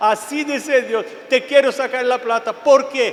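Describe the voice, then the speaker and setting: An extremely high-pitched male voice cuts through noticeable background noise. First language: Portuguese (speaking Spanish). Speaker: preacher. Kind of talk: sermon. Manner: animated.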